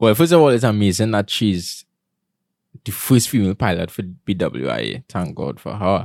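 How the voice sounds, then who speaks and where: Heard in a very clean recording with a silent background, a man's fairly low voice carries vocal fry and lively intonation. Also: moderate pace. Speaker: podcast co-host. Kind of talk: casual chat.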